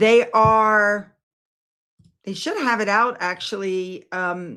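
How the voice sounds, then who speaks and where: This is a woman with a normal speaking voice at a medium pitch. Her pitch varies in an ordinary way, and the recording is very clean with a silent background. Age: 60s. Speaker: YouTube commentator. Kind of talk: livestream chat with viewers.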